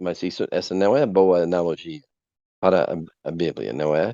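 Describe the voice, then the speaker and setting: This voice carries an American accent. It moves at a moderate pace. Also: man. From USA. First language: English (speaking Portuguese). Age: 50s. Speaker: evangelist. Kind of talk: podcast interview. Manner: halting.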